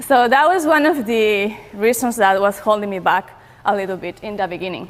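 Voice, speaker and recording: A woman with a non-native accent speaks at a moderate pace with lively intonation. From Peru. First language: Spanish. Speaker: online entrepreneur. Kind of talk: conference talk. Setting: stage with audience. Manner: hesitant, many fillers.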